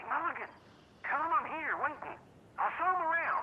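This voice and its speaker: Using a put-on character voice, a woman speaks at an extremely high pitch and a fairly quick pace, with big swings in loudness. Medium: video game.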